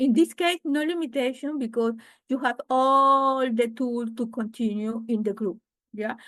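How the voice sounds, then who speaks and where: Against a quiet background, a woman speaks at a fairly slow pace in a Spanish accent. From Venezuela. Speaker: real estate investor. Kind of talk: interview. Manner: halting.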